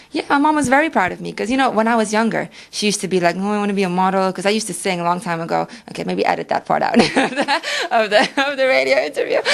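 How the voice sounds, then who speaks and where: With noticeable background noise behind her, a woman speaks very fast at a medium pitch with lively intonation. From Suriname. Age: 20s. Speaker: model. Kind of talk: radio interview. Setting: radio studio.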